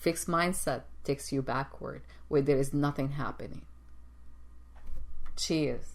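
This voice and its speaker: Speaking fairly slowly, this woman has a non-native accent. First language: not English. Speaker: executive coach and show host. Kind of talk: motivational talk show monologue. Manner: halting, repeats words.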